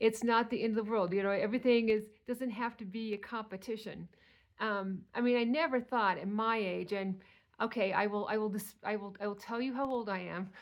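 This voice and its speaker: At a fairly quick pace, a woman with a plain, everyday voice speaks at a fairly high pitch. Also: fairly even intonation. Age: 60s. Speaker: weight loss vlogger. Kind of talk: casual monologue.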